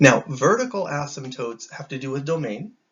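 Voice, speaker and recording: Speaking at a very fast pace, a man sounds somewhat breathy. His pitch varies in an ordinary way. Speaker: math teacher. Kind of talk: lecture.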